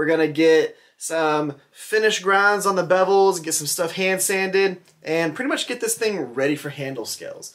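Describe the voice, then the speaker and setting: Over a quiet background, a man talks at a moderate pace. His pitch is high. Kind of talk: casual vlog chat. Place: workshop. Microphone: phone near.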